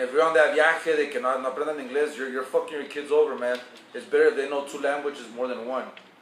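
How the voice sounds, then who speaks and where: A man with a Spanish accent talks at a very fast pace with fairly even intonation. Noticeable background noise runs underneath. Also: fairly high pitch for a man. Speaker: vlogger giving advice. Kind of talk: casual storytelling monologue. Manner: casual, profane, code-switching.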